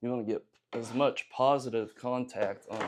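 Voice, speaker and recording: Mumbling at a fairly slow pace, a man speaks in a Southern US accent. His medium pitch holds fairly even intonation. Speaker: gunsmithing hobbyist youtuber. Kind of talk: tutorial. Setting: home workshop. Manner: casual, hesitant with fillers.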